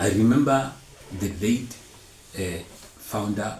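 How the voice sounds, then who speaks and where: Audible room echo surrounds a somewhat breathy man whose pitch varies in an ordinary way. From South Africa, Mpumalanga. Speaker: storyteller sharing personal testimony. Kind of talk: testimony. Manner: halting.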